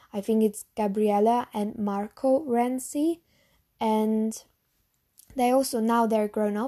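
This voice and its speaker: In a German accent, a woman speaks at a very slow pace with a fairly high pitch, a dark, mellow tone and fairly even intonation. The recording is very clean, with a silent background. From Germany. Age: young. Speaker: lifestyle podcaster. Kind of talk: casual monologue Q&A.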